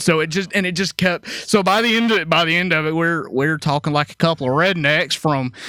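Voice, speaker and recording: Speaking at a moderate pace with a Southern US accent, a man has a bright, sharp tone in a dry, close recording with no echo. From Alabama. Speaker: military veteran. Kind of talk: casual chat.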